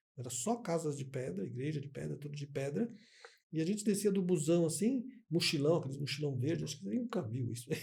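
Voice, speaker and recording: Using a dark, mellow tone, a man talks at a fairly quick pace with very wide pitch swings. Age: 60s. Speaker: podcast host. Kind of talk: casual interview chat.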